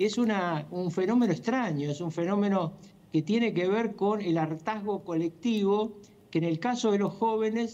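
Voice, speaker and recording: A man with a high pitch and a dark, mellow tone, at a moderate pace with ordinary pitch variation. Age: 70s. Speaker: political commentator. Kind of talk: interview.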